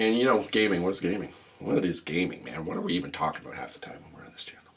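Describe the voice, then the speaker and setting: A man whispering at a very fast pace, with big swings in loudness. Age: old. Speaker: podcast host. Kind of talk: casual chat. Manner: animated.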